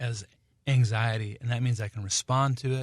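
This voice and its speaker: Against a quiet background, a man speaks at a medium pitch. His voice is somewhat breathy, with ordinary pitch variation. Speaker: singer-songwriter. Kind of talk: radio interview. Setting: radio studio. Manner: halting.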